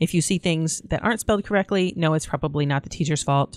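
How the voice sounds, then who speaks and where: Talking very fast, a woman with a fairly low pitch and ordinary pitch variation is heard in a dry, close recording with no echo, very clean and with a silent background. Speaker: online course instructor. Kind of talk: screen-share tutorial.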